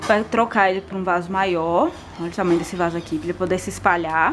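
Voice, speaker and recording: Fairly quick talking from a woman, with noticeable background noise behind it. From Brazil. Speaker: gardening youtuber. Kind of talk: tutorial. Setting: at home. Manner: casual. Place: garden. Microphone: phone near.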